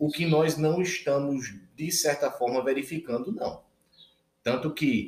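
This man's pitch is fairly high, and his voice is somewhat breathy. He speaks at a fairly slow pace with fairly even intonation. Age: 30s. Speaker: intensive care physician. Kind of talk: casual interview chat.

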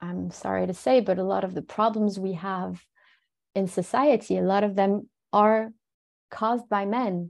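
Against a quiet background, a woman at medium pitch talks at a fairly slow pace with long, frequent pauses. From France, Paris suburbs. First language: French. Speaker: resilience and mental fitness expert. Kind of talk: interview.

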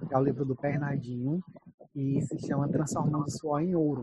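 A plain, everyday voice from a man, fairly high in pitch, with fairly even intonation at a moderate pace. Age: 20s. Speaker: podcast host and Portuguese teacher. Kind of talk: casual chat.

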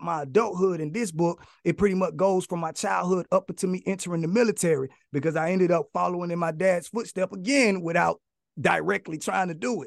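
A man's high-pitched voice with ordinary pitch variation, dry and close with no echo. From US South, inner-city Atlanta, Georgia. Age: 30s. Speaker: author and motivational speaker. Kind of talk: casual interview chat.

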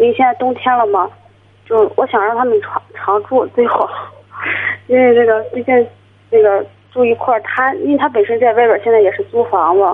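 A woman's high voice at a fairly quick pace, with ordinary pitch variation, long and frequent pauses, and noticeable background noise. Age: 20s. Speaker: caller. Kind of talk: phone-in advice call. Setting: phone call.

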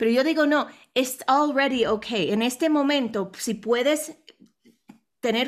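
A woman speaks at a high pitch with ordinary pitch variation. The recording is very clean, with a silent background. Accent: English. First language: English (speaking Spanish). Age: 40s. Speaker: international speaker and businesswoman. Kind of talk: interview. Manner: halting.

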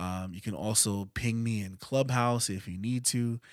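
Over a very clean recording with a silent background, a man talks at a moderate pace in an unremarkable speaking voice. His pitch is medium and his intonation fairly even. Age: 40s. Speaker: podcast host. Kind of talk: solo podcast monologue, movie review and personal grief. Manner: casual, conversational.

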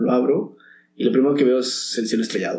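A man speaks at a moderate pace with vocal fry and a medium pitch. His tone is dark and mellow, with audible room echo. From Mexico. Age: 40s. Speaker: actor. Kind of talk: casual interview.

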